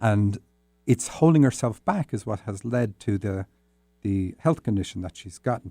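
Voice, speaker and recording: The speaker has an Irish accent and a dark, mellow tone with lively intonation. The sound is dry and close, with no echo. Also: man. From Ireland. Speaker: dream interpretation podcast host. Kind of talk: solo podcast, reading and interpreting listener dreams. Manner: tends to talk fast; hesitant, many fillers.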